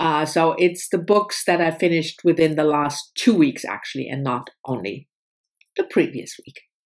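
A woman at a moderate pace, with a quiet background. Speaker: book vlogger. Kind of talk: casual vlog chat. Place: home room. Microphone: webcam.

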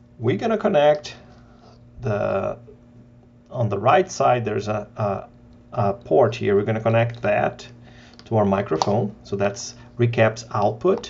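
Slow, lively speech from a man with a fairly low pitch, a slightly mellow tone and vocal fry

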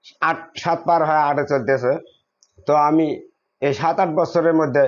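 A man speaks with an ordinary speaking voice. His pitch is fairly high and his intonation fairly even. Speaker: Sufi devotee speaking at a shrine gathering. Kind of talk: religious talk to a gathering. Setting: shrine gathering with audience.

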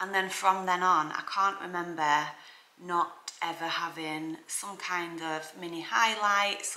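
Audible room echo surrounds a woman whose fairly low, bright, sharp voice moves at a fairly slow pace with fairly even intonation.

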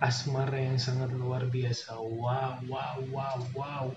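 A man speaking at a very slow pace amid noticeable background noise. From Indonesia. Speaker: YouTube reaction channel host; reaction video host. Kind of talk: reaction video commentary. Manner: animated. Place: home room.

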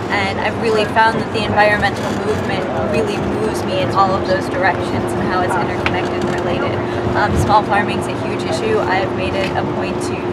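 The speaker talks at a very fast pace over loud background noise. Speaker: university student. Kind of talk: casual chat. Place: bus.

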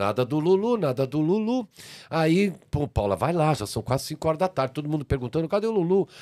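A man's moderately paced speech comes through with a quiet background behind it. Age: 60s. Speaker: TV producer and artist promoter; podcast guest. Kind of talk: casual interview storytelling. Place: studio. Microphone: studio mic.

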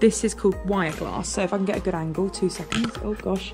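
Clear background music behind a woman's voice. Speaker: urban explorer vlogger. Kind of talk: casual vlog chat. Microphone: phone near.

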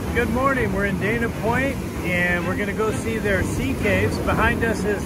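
A man at a moderate pace, dry sound with no echo, loud music in the background. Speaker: hiking vlogger. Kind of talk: casual vlog chat. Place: beach. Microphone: phone near.

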